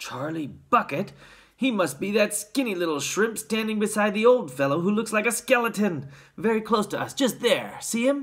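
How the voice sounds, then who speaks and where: The speaker uses a put-on character voice. Its pitch sits fairly high. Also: moderate pace. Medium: read story. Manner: shouting, gossipy.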